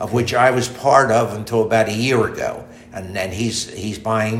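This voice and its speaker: Over noticeable background noise, a man speaks in a monotone, flat way. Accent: American. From southern New Jersey, US. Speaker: interviewee, retired manufacturer. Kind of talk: casual interview.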